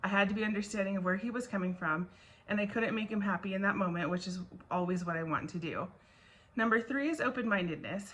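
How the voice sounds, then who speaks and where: Noticeable background noise sits behind a woman talking at a very fast pace. Her voice is medium in pitch, with ordinary variation. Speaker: school administrator. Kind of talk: class assignment video reflection.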